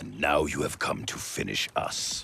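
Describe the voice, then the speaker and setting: A man puts on a growling character voice and talks at a moderate pace. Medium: video game. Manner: suspicious, firm.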